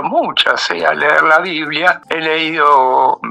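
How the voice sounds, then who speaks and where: Noticeable background noise surrounds a man speaking with a fairly high pitch. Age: 80s+. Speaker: lawyer. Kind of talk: radio interview. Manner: halting.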